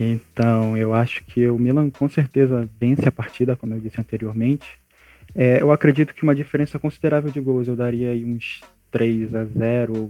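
Fairly even intonation in a dark, mellow tone, delivered at a moderate pace. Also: man, medium pitch for a man. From Brazil, Amapá (North). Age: young. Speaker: journalism student, women's football analyst. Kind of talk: casual podcast chat.

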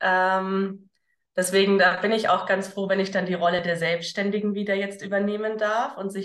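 A woman talks at a moderate pace in an ordinary speaking voice, medium in pitch with fairly even intonation. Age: 30s. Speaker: entrepreneur, former teacher. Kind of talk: casual interview.

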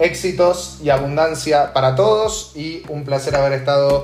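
Recorded with audible room echo and noticeable background noise, a man talks at a medium pitch with ordinary pitch variation. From Argentina, Buenos Aires (Belgrano). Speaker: podcast host. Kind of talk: casual chat.

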